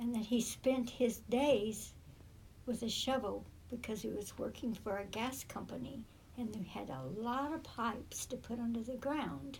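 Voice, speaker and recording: Spoken in an American accent with vocal fry, this voice moves at a fairly slow pace with fairly even intonation and audible room echo. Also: woman, fairly high pitch for a woman. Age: 80s+. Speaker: great-grandmother interviewee. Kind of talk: oral history interview. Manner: halting.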